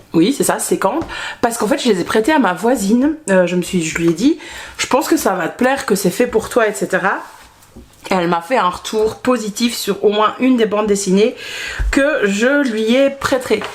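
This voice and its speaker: Lively intonation and a Belgian accent come through at a moderate pace over noticeable background noise. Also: woman, fairly high pitch for a woman. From Belgium. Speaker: book vlogger. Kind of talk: casual vlog chat. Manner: hesitant, many fillers.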